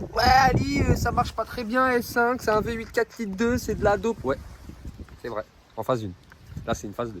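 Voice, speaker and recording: A man at a fairly quick pace with long, frequent pauses and big swings in loudness, amid noticeable background noise. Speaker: car vlogger. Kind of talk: casual vlog chat. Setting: outdoors. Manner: animated.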